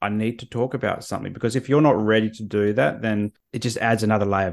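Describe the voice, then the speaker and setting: A man with an Australian accent talks at a very fast pace and a fairly low pitch. The recording is very clean, with a silent background. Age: 30s. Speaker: therapist. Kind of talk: interview.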